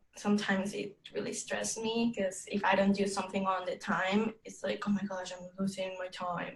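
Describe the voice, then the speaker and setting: A somewhat breathy woman's voice in a monotone, flat intonation at a moderate pace. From Mexico (Tabasco, Villahermosa). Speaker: language student. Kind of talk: oral exam conversation. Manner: halting.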